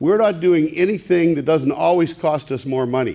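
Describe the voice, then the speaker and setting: A loud man speaks at a fairly quick pace with a high pitch and ordinary pitch variation over noticeable background noise. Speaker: audience member at public meeting. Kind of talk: public comment.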